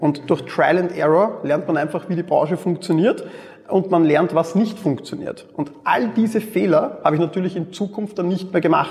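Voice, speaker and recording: A man's high voice with ordinary pitch variation at a moderate pace, over noticeable background noise. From Austria, Mödling near Vienna. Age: 30s. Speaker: e-commerce entrepreneur. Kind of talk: interview.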